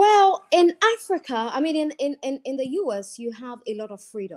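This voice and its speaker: A woman speaks at a moderate pace with lively intonation. Her tone is dark and mellow, and the background is quiet. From Ghana. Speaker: journalist and broadcaster. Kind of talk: interview answer. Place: home room.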